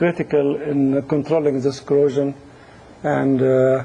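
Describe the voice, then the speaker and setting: Somewhat breathy and dark, mellow in tone, a man speaks at a moderate pace in a fairly high pitch. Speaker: engineering instructor. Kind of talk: lecture. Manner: hesitant, many fillers.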